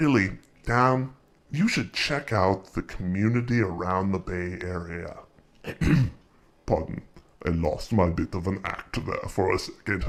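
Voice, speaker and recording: A man in a playful put-on character voice, fairly low in pitch, at a fairly slow pace with long, frequent pauses. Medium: audio drama. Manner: suave, playful.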